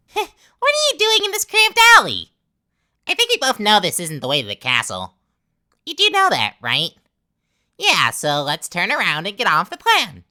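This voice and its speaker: A put-on character voice, female-sounding, at a moderate pace. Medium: solo performance. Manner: chummy and cajoling, turning sneering.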